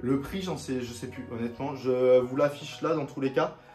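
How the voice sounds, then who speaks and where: A man at a medium pitch and a moderate pace, with music in the background. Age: 20s. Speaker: YouTuber, sneaker and streetwear reviewer. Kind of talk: casual haul video. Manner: casual, hesitant with many fillers.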